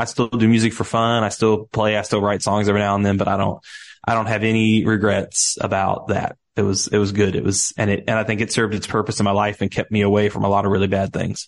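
Talking at a very fast pace, a man with a slight Southern US accent uses a fairly low, monotone, flat delivery. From US Midwest. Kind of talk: casual interview.

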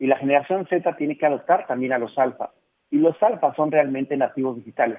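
An ordinary speaking voice goes at a fairly quick pace, its pitch variation ordinary. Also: man, fairly high pitch for a man. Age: 40s. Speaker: speaker and consultant on generations and work. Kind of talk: radio interview. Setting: phone call.

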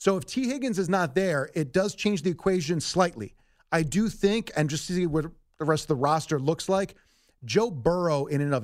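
A man with an ordinary speaking voice uses lively intonation at a moderate pace, recorded very cleanly against a silent background. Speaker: sports radio guest analyst. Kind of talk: sports talk discussion.

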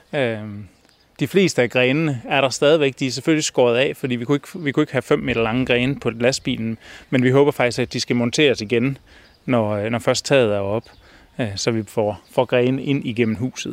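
A man's medium-pitched voice at a moderate pace, ordinary pitch variation, and a dry, close sound with no echo. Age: 40s. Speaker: designer and folk high school staff. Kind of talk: interview. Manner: halting, many fillers.

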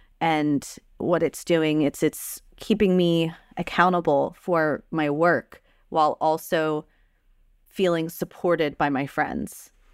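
Speaking at a very slow pace, a woman keeps a fairly low pitch and fairly even intonation. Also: dry, close sound with no echo, very clean recording, silent background. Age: 30s. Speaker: tabletop game writer and streamer. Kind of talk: casual interview.

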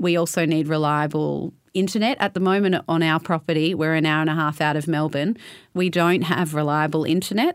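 Very deep and low in pitch, a woman speaks with an Australian accent in a very clean recording over a silent background. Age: 30s. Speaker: winery environmental manager. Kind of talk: interview.

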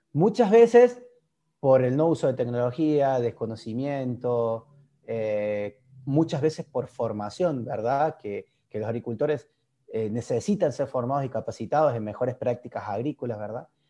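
With an Argentine accent, a man speaks at a medium pitch in a dark, mellow tone with ordinary pitch variation against a quiet background. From Argentina. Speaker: agtech startup founder. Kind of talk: interview. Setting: video call.

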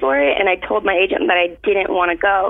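Noticeable noise runs in the background while the woman talks at a moderate speed. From Florida. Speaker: dancer. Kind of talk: casual chat.

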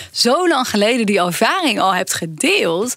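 A woman's pitch swings very widely as she talks at a moderate pace, with noticeable background noise present. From Brabant, Netherlands. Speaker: professor and podcast co-host. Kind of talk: casual chat.

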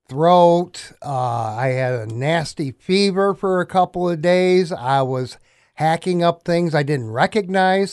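A man speaks at a high pitch with a Midwestern American accent. The background is quiet. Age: 60s. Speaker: sports broadcaster. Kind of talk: casual sports chat.

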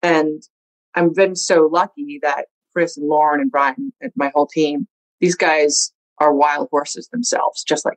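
Dry and close with no echo, a woman speaks in a very deep, low pitch. Her pace is fairly slow, and her intonation lively. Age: 40s. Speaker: tech startup founder and CEO, former radio DJ. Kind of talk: interview.

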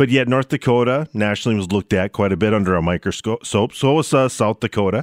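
Speaking very fast with hardly any pauses, a man with an Upper Midwest accent keeps his loudness very even, his pitch fairly low and his pitch variation ordinary. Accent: Upper Midwest American. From Minnesota. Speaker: talk radio host. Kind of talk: talk radio monologue and call-in.

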